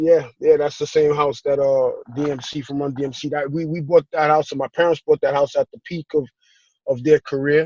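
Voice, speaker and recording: In a New York accent, a man talks at a fairly quick pace with a monotone, flat intonation. His loudness swings widely, and the sound is dry and close with no echo. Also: fairly high pitch for a man. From New York (Brooklyn and Queens). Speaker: real estate investor. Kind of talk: interview. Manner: halting.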